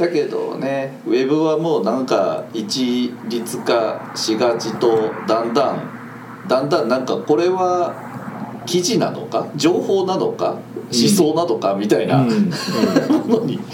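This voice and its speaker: Over noticeable background noise and audible room echo, a man speaks at a very slow pace with a fairly high pitch and very wide pitch swings. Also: hardly any pauses. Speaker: podcast host. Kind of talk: casual chat. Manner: animated.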